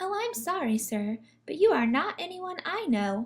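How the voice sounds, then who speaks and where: Squeaky and high-pitched, this woman's put-on character voice swings very widely in pitch. She keeps a moderate pace. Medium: read story. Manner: polite, genteel.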